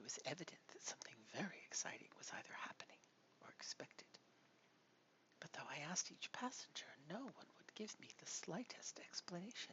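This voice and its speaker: Someone whispers in a soothing tone at a fairly quick pace. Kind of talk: soft-spoken ASMR audiobook reading of a gothic novel. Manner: soft, soothing, whispered.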